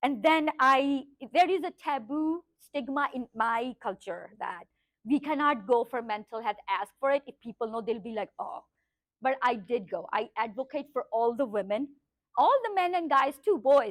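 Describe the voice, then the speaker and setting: A woman at a high pitch with lively intonation, speaking at a moderate pace. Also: dry, close sound with no echo. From Pakistan. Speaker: life coach. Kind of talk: workshop talk; guided meditation.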